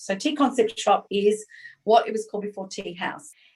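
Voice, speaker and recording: Moderately paced speech from a woman with an Australian accent, medium in pitch with ordinary pitch variation. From Australia, Sydney. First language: not English. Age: 50s. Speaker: small business owner, former advertising executive. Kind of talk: podcast interview.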